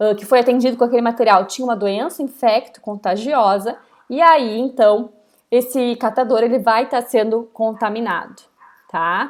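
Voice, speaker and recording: Her fairly high pitch and an unremarkable speaking voice mark this woman, who talks at a moderate pace. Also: ordinary pitch variation. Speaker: university lecturer. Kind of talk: lecture.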